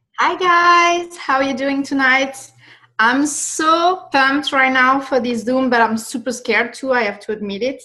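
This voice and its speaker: A woman's raised, projected voice with a French accent, high-pitched, bright and sharp in tone, at a moderate pace with ordinary pitch variation. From France. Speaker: network marketing leader hosting a webinar. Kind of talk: video call webinar hosting. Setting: video call.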